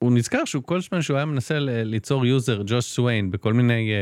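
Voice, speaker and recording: Intonation stays lively as the words come out at a fairly quick pace. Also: man. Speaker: tech journalist, co-host. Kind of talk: casual chat. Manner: halting, many fillers.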